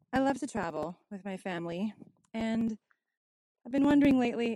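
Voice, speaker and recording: This woman's voice sits at a medium pitch. She keeps to a moderate pace. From Canada. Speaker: caller. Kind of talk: listener question message. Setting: outdoors, windy.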